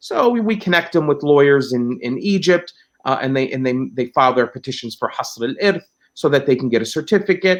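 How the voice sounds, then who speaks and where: Fairly quick pace with lively intonation. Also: man, fairly high pitch for a man. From Palestine (Ramallah area), born in New Jersey. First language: Arabic. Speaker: lawyer and Islamic law expert. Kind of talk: interview. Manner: halting, many fillers and repetitions.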